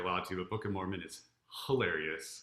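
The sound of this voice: A man's fairly bright voice amid audible room echo.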